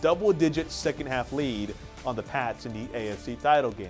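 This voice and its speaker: A man's lively intonation stands out against music playing in the background. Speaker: sports segment co-host / analyst. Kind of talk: TV sports segment talk.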